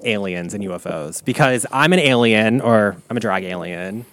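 This very clean recording of a man has a silent background. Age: 30s. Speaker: podcast host. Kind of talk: casual chat. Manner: fast talker; animated.

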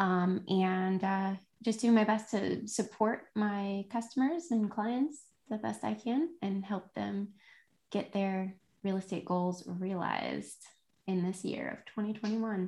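Over a quiet background, a woman speaks very slowly at a medium pitch, somewhat breathy. Her tone is dark and mellow, with ordinary pitch variation. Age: 30s. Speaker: real estate agent and podcast host. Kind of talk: casual solo monologue. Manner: halting, many fillers.

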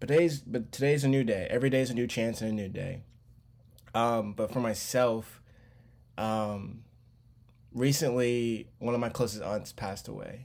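A man speaks with an American accent at a medium pitch and a moderate pace. His is an unremarkable speaking voice with ordinary pitch variation. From Charlotte, North Carolina. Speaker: podcast host. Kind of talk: casual monologue.

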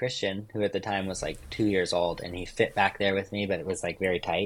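At a fairly quick pace, a man talks with a West Coast American accent. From US West Coast. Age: 30s. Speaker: overlander and vehicle builder. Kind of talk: casual chat.

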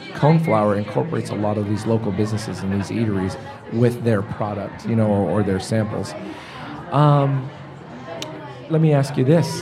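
A man's fairly low voice, fairly quick and lively in intonation, with long, frequent pauses, audible room echo and crowd noise behind. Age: 40s. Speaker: podcast host. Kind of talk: casual interview. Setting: studio.

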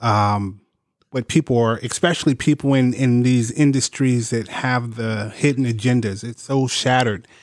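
This man has a normal speaking voice at medium pitch, talking at a moderate pace with fairly even intonation. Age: 50s. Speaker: podcast co-host. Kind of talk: casual chat.

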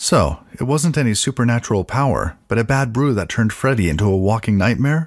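Using a plain, everyday voice, a man talks at medium pitch and a fairly quick pace with hardly any pauses, very even loudness and lively intonation. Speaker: co-host sidekick. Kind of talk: scripted banter with in-character detective lines during story.

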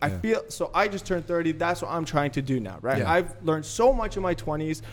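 With music in the background, a man speaks at a fairly quick pace in an animated tone, his high-pitched voice marked by lively intonation. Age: 30s. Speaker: marketer and former reality TV contestant. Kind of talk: casual chat.

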